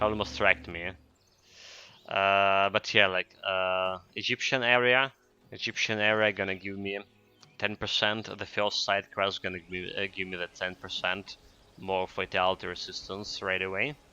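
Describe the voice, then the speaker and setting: A man speaks at a moderate pace in a fairly low voice, his loudness swinging widely. Music plays in the background. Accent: Ukrainian. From Ukraine. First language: Ukrainian. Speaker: video game streamer. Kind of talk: gameplay commentary. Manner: hesitant, many fillers.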